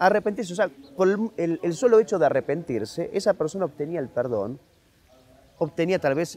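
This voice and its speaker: Here a man's pitch swings very widely. He moves at a fairly quick pace. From Argentina, Buenos Aires. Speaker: author and historian. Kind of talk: interview. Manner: fast.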